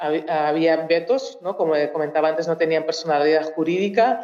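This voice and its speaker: This woman's fairly low-pitched voice carries audible room echo. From Mozambique. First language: Portuguese (speaking Spanish). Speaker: researcher. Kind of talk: talk at a public cultural event. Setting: auditorium with audience. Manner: halting, many fillers and restarts.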